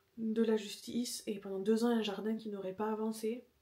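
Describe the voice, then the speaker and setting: Fairly quick and monotone, a woman speaks with flat intonation at a fairly high pitch. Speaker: home renovation vlogger. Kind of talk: casual vlog chat. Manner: whispering.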